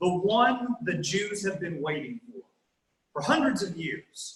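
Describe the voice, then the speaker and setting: The speaker talks at a fairly slow pace with a Southern US accent and ordinary pitch variation. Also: man. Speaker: guest preacher. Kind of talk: sermon.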